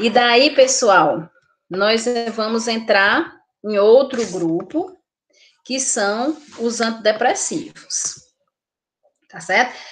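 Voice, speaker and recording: A woman with a Brazilian accent, fairly high-pitched and lively in intonation, at a very slow pace with long, frequent pauses and big swings in loudness. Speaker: nursing teacher. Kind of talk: lecture.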